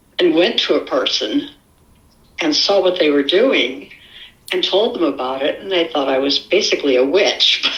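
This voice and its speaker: A woman's fairly low voice with very wide pitch swings, over noticeable background noise. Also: moderate pace. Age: 70s. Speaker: eyewitness sharing an encounter. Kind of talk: interview testimony.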